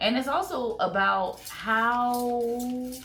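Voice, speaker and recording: A woman speaks in an animated tone. Room echo is audible. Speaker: YouTuber. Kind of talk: casual vlog commentary.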